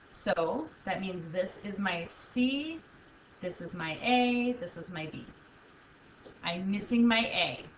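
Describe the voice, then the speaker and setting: A woman's medium-pitched voice at a very slow pace, with lively intonation, big swings in loudness and long, frequent pauses, amid noticeable background noise and audible room echo. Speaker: math teacher. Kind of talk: video lesson.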